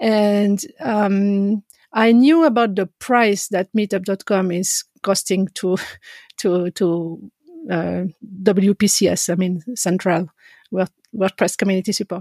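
A woman with a French accent speaks at a very slow pace in a medium pitch with a dark, mellow tone and ordinary pitch variation, in a very clean recording with a silent background. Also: dry, close sound with no echo. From French-speaking Switzerland, Geneva. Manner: halting, frequent repetitions and laughter.

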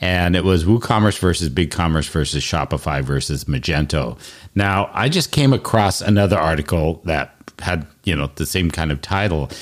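The man's voice is very deep and low in pitch, with vocal fry. He talks at a moderate pace with ordinary pitch variation. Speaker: podcast host. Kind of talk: casual interview chat.

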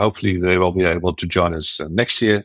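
A man at a moderate pace, with a Dutch accent. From Netherlands. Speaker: WordCamp organizer and WordPress builder. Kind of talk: casual interview chat.

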